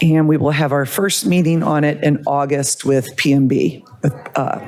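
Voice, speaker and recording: Fairly even intonation at a fairly slow pace, with noticeable background noise. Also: woman. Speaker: police department budget officer. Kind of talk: budget report at public meeting. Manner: loud.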